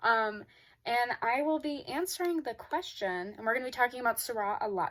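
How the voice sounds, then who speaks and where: A woman at a fairly quick pace, fairly high in pitch with lively intonation, in a very clean recording with a silent background. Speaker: student vlogger. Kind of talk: casual vlog talk. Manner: hesitant, many fillers.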